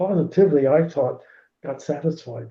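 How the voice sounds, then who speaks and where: A man's somewhat breathy voice, fairly high in pitch, at a moderate pace with ordinary pitch variation. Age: 90s. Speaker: retired swim coach. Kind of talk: interview. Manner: halting.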